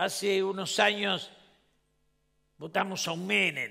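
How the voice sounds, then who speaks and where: Bright and sharp in tone, this man speaks at a high pitch. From Argentina. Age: 70s. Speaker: former politician and panel speaker. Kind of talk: conference speech. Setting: stage with audience.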